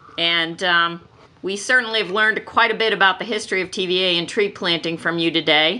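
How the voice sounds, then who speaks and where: A woman with a normal speaking voice talks at a fairly quick pace, using a medium pitch and ordinary pitch variation. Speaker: podcast host. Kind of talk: interview.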